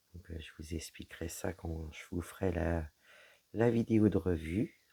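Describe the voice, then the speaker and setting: A man puts on a character voice, hoarse and very deep in pitch. He goes at a moderate pace with fairly even intonation but big swings in loudness. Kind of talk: casual, hesitant.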